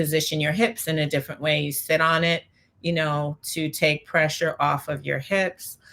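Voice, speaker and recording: Her tone bright and sharp, a woman speaks at a moderate pace with a very deep, low pitch and monotone, flat intonation. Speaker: Pilates instructor. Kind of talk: interview.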